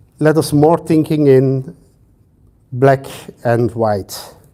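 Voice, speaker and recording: This man speaks very slowly in a Flemish accent. His voice is fairly high, with ordinary pitch variation. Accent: Flemish Dutch accent in English. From Belgium (Flanders). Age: 50s. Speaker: sociology professor. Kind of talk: lecture. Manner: hesitant with frequent fillers.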